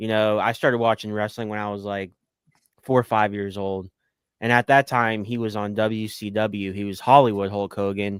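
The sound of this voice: Speaking at a moderate pace, a man has a fairly low pitch. There is little pitch movement and a clear, smooth tone.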